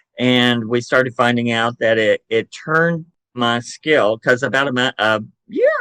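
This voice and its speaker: A man's medium-pitched voice with a Southern US accent, bright, sharp tone, ordinary pitch variation and a fairly slow pace, in a dry, close sound with no echo. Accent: Southern drawl. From Chattanooga, Tennessee, US South. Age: 60s. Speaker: psychic medium and paranormal investigator. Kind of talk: podcast interview. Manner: casual, hesitant with fillers.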